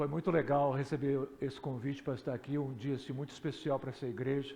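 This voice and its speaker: Intonation stays monotone and flat as a man talks in a dark, mellow tone. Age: 60s. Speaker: pastor. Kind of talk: sermon. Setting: church.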